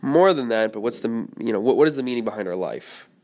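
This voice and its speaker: A man with an unremarkable speaking voice on a very clean recording with a silent background. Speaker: podcast host. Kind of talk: casual interview chat.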